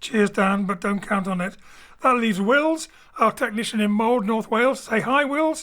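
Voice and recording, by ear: A man talks at a moderate pace in a high pitch. His tone is bright and sharp, with ordinary pitch variation.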